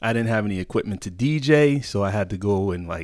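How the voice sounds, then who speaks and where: An unremarkable speaking voice from a man, fairly low in pitch, on a very clean recording with a silent background. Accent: American. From Connecticut, US. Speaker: club DJ. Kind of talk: casual interview chat.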